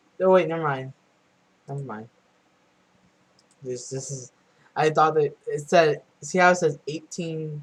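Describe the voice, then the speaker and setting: Quiet and fairly slow, the voice keeps a fairly even intonation while its loudness swings widely between long, frequent pauses. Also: man, fairly high pitch for a man. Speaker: earthquake-watching livestreamer. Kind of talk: casual live stream commentary. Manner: loud and quiet at the same time.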